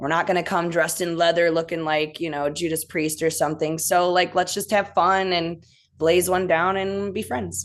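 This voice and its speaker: A woman with a Midwestern accent and fairly low pitch, fairly even intonation at a moderate pace, against a quiet background. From US Midwest. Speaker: rock band member. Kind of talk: casual interview.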